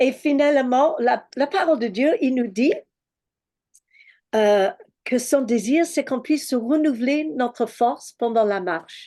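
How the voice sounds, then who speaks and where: Against a quiet background, a woman with a high pitch talks very slowly, her intonation lively and her pauses long and frequent. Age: 60s. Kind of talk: religious teaching. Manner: halting, many hesitations.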